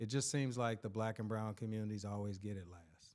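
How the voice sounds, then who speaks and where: A man with a medium pitch moves through his words at a fairly quick pace. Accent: American. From Kansas City and Louisiana, US. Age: 50s. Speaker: school principal and educator. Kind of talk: interview. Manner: animated.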